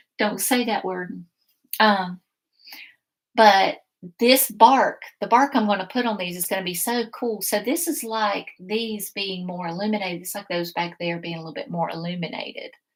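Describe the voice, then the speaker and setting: Speaking at a medium pitch with ordinary pitch variation in a Southern US accent, a woman's voice shows big swings in loudness. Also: moderate pace. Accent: Southern US (Georgia). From US South, South Georgia. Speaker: painting instructor. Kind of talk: live painting tutorial. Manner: casual, chatty.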